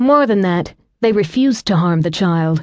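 A woman speaks in a plain, everyday voice against a quiet background. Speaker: audiobook narrator. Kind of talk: dramatic audiobook narration of a thriller-romance, tense and cinematic.

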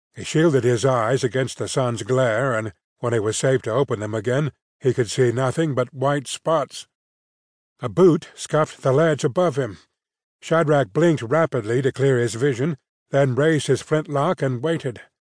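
Against a quiet background, a man with a plain, everyday voice speaks at a moderate pace and medium pitch with ordinary pitch variation, the sound dry and close with no echo. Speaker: audiobook narrator. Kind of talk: dramatic audiobook narration of a gritty sword-and-sorcery gunfight. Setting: studio. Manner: tense, suspenseful pacing through action beats; wry, dry delivery of grim humor.

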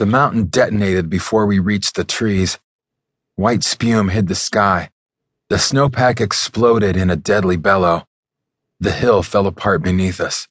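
Against a quiet background, a man with an ordinary speaking voice and fairly low pitch talks at a moderate pace with ordinary pitch variation, the sound dry and close with no echo. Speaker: audiobook narrator. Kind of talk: dramatic audiobook narration, first-person action scene. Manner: tense, urgent, building to anguished shouts.

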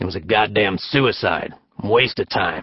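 This is a put-on character voice, booming and growling. It moves at a moderate pace. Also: man. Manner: gruff, dismissive.

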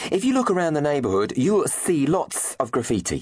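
With a British accent, a man sounds playful and animated, his pitch swinging very widely through vocal fry. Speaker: audiobook narrator. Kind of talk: audiobook narration, reading a character's letter aloud. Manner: playful, animated, conspiratorial; exuberant, theatrical, relishing invented words.

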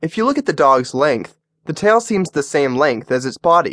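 A man talks in a normal speaking voice at a moderate pace with lively intonation. The sound is dry and close with no echo. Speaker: audiobook narrator. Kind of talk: audiobook narration, reading a how-to book aloud. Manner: formal; even and instructive.

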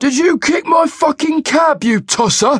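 A man's put-on character voice, growling and extremely high-pitched, at a moderate pace. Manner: snarling, aggressive.

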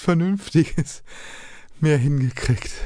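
Very slow in pace, a man speaks with lively intonation. The background is quiet. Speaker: audiobook narrator. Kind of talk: dramatic audiobook narration with character voices, gritty and crude. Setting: studio. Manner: animated, gruff, theatrical, snarling and sarcastic in dialogue.

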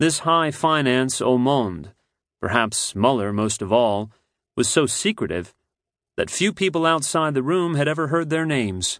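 A man talks with a plain, everyday voice, fairly high in pitch, his intonation lively. His loudness stays very even, and his pace is fairly slow. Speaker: audiobook narrator. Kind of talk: audiobook narration, scripted reading aloud of nonfiction. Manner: measured, polished, steady storytelling pace.

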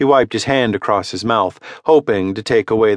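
Lively intonation runs through this natural reading voice.

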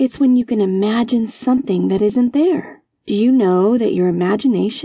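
Ordinary pitch variation marks a natural reading voice over a quiet background.

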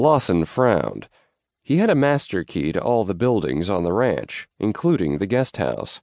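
Over a quiet background, a man with a medium pitch talks at a moderate pace, his pitch swinging very widely. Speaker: audiobook narrator. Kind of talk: dramatic audiobook narration of a romance western, reading aloud with character voices.

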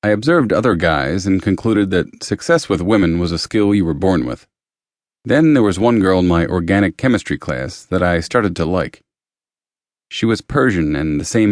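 A man's very deep, low voice with ordinary pitch variation, quiet background. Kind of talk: audiobook reading, first-person memoir narration. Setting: studio. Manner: steady, even, confessional.

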